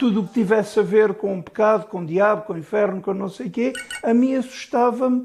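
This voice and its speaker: Against noticeable background noise, a high-pitched man talks at a fairly quick pace with ordinary pitch variation. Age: 60s. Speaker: IT technician with OCD. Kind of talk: interview testimony.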